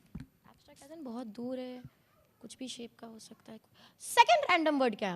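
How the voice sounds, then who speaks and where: Her high-pitched voice has lively intonation and big swings in loudness. The woman keeps a moderate pace. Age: 20s. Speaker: magician and mentalist. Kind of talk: live stage show patter with audience. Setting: live stage with audience. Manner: playful, chatty.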